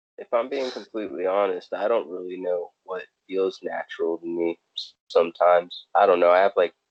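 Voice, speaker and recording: A man with an American accent speaks at a moderate pace with hardly any pauses. His loudness swings widely. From California. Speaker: podcast co-host. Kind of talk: casual chat.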